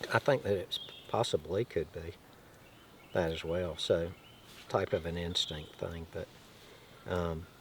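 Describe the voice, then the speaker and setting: A man talks at a fairly slow pace. His speech has long, frequent pauses. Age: 60s. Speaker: host's father, guest. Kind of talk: casual chat.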